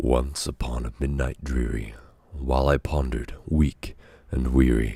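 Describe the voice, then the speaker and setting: A man speaks at a fairly slow pace with very deep, low pitch and fairly even intonation. His dark, mellow tone is somewhat breathy. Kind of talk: poetry reading.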